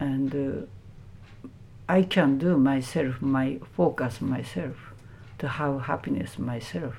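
Speech comes at a very slow pace in a Japanese accent, broken by long, frequent pauses. Room echo is audible. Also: woman, very deep, low pitch for a woman, ordinary pitch variation. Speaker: Buddhist nun. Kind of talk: interview. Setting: temple. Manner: halting.

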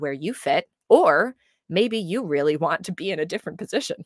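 A plain, everyday voice comes from a woman at a fairly low pitch and a moderate pace. The recording is very clean with a silent background, and the sound is dry and close with no echo. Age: young. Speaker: life coach. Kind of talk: casual interview chat.

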